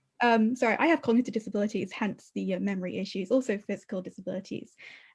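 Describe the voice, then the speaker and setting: Against a quiet background, a woman with a British accent talks at a very fast pace in a fairly high pitch, with ordinary pitch variation and vocal fry. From Britain. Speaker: webinar co-host, community manager. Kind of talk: webinar interview.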